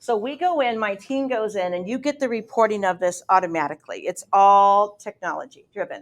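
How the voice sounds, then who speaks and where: A woman at a moderate pace with a fairly high pitch and lively intonation. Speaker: property management company head. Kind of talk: panel talk at investor meetup. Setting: meetup room with audience, streamed online. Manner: loud.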